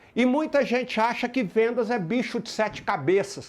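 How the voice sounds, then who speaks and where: Over a quiet background, a man with a strong rural Minas Gerais accent speaks at a moderate pace in an extremely high pitch, with an animated tone and ordinary pitch variation. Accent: strong rural Minas Gerais (caipira). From Brazil, Minas Gerais (rural). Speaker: motivational sales speaker. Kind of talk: motivational talk.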